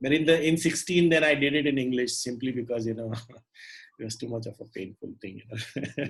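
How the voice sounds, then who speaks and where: A man with a Marathi accent speaks at a medium pitch in a somewhat breathy voice with ordinary pitch variation. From India, Maharashtra. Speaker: puppeteer and storyteller. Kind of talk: casual interview.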